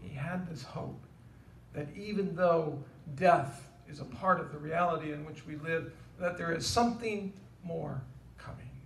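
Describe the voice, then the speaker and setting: Over light background noise and audible room echo, a man speaks at a moderate pace with long, frequent pauses, big swings in loudness and ordinary pitch variation. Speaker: pastor giving a eulogy. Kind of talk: sermon. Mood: solemn, hopeful. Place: church.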